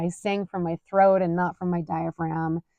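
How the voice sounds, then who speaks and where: A woman speaks with a Utah accent. Her pace is moderate. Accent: Utah American English. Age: 40s. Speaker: podcast host. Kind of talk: personal storytelling monologue. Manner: casual, conversational with fillers.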